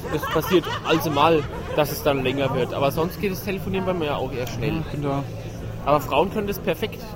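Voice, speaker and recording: A man with a fairly high pitch talks at a very fast pace, with ordinary pitch variation. Crowd noise fills the background, and room echo is audible. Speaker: podcast co-host. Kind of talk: casual chat. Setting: outdoors at a Christmas market.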